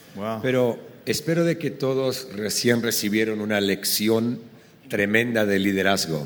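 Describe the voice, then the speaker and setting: A man speaks at a medium pitch with ordinary variation. Audible room echo and noticeable background noise come through on the recording. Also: fairly slow pace. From Argentina. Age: 40s. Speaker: pastor. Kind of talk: live podcast conversation. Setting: live recording at a conference.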